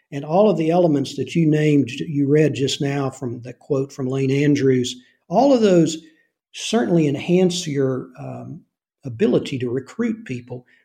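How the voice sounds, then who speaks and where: A man with a fairly high pitch and a dark, mellow tone speaks at a moderate pace. His somewhat breathy voice shows big swings in loudness. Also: ordinary pitch variation. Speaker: retired intelligence officer and novelist. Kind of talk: interview about his novel.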